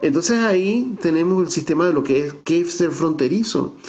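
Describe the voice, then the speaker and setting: A man's high-pitched voice with lively intonation. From Venezuelan Andes, San Cristóbal (Táchira). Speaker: theatre director and researcher. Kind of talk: virtual talk / interview. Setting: video call. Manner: conversational, with hesitations.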